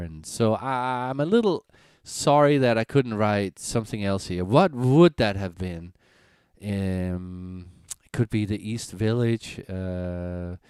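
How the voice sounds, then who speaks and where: Recorded very cleanly with a silent background and a dry, close sound free of echo, a man with a Danish accent speaks fairly slowly at a fairly low pitch, with ordinary pitch variation and big swings in loudness. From Denmark, rural Jutland. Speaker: singer-songwriter. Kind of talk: casual live-stream chat. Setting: live stream. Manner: halting, many fillers.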